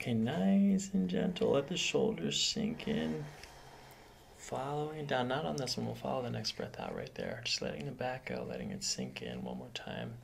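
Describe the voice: With audible room echo, a man talks at a moderate pace and medium pitch. His voice shows vocal fry and very wide pitch swings.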